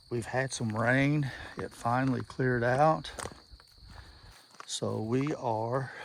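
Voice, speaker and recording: A man talks at a very slow pace with long, frequent pauses, his medium pitch held in fairly even intonation. Noticeable background noise runs underneath. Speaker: product reviewer. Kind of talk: outdoor vlog tutorial. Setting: outdoors in the woods. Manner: halting.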